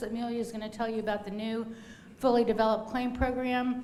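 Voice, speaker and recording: Noticeable background noise and audible room echo surround the recording. A woman speaks at a fairly high pitch in a monotone, flat intonation. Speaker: law clinic director and instructor. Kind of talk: lecture. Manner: fast.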